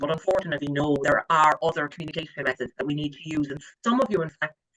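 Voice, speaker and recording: Spoken at a very fast pace with an Irish accent, the voice has a bright, sharp tone and a dry, close sound with no echo. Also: man. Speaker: credit management trainer. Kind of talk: training lecture. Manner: animated.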